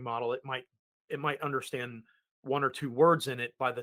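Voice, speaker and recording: In an American accent, a man talks fairly quickly at a medium pitch, with ordinary pitch variation and a bright, sharp tone. The recording is very clean, with a silent background. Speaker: technology podcast co-host and consultant. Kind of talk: conversational tech podcast explanation.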